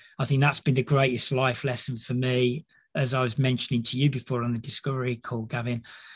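A man speaks very fast in a medium-pitched, monotone, flat voice. The background is quiet. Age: 50s. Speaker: leadership psychologist. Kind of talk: casual chat.

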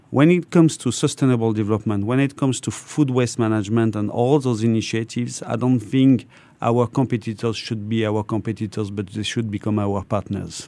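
In a very clean recording with a silent background, a man with a French accent and a dark, mellow tone speaks fairly quickly with hardly any pauses, his medium pitch showing ordinary variation. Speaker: corporate procurement executive. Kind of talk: radio interview. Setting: studio. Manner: hesitant, many fillers.

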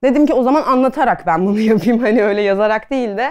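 A woman speaks at a fairly quick pace with ordinary pitch variation and a fairly high pitch. It's a plain, everyday voice against a quiet background. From Adana, Turkey. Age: 30s. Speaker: pastry chef and food stylist. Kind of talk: casual talk to an audience. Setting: talk on stage with audience.

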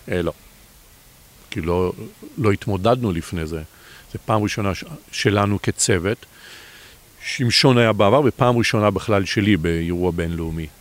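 A man's fairly low voice with ordinary pitch variation, at a moderate pace with long, frequent pauses. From Israel, Bat Yam. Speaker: competitive sailor. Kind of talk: interview. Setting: outdoors.

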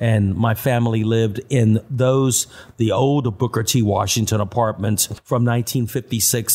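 A man with an American accent speaks at a moderate pace and medium pitch, his somewhat breathy voice holding a very even loudness and fairly even intonation with hardly any pauses. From Austin, Texas. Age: 60s. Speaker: city tour guide. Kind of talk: interview.

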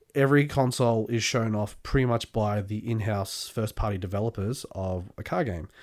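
In a very clean recording with a silent background, a man with an Australian accent speaks at a fairly low pitch with ordinary pitch variation and hardly any pauses. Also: moderate pace. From born England, grew up Australia. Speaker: podcast guest. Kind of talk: casual chat.

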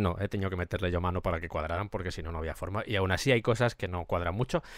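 A man talks at a very fast pace in a very clean recording with a silent background and a dry, close sound with no echo. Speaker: music podcast host. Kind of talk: music analysis monologue.

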